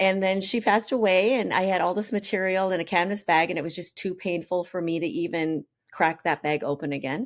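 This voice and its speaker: A woman with an American accent talks at a moderate pace, her pitch fairly low with ordinary variation. The recording is very clean with a silent background. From Minnesota, US Midwest. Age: 50s. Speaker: chef and cookbook author. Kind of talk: interview. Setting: radio studio. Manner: animated.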